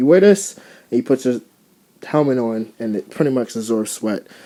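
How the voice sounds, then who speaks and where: A man's medium-pitched voice, dark and mellow, with lively intonation at a very fast pace. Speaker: airsoft vlogger. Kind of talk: casual gear show-and-tell vlog. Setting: bedroom. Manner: casual, hesitant with fillers.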